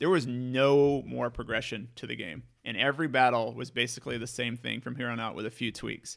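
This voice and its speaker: A man with a medium-pitched voice and vocal fry talks at a fairly quick pace with fairly even intonation and hardly any pauses. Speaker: podcast host. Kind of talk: casual chat.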